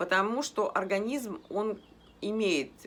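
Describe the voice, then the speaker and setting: A woman's voice with vocal fry. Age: 50s. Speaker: health blogger. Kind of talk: casual talk to camera.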